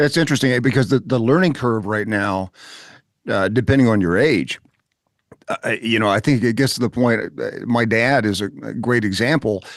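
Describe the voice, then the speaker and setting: Having an unremarkable speaking voice, a man talks at a moderate pace and a medium pitch with ordinary pitch variation. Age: 60s. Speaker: podcast host. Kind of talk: interview conversation.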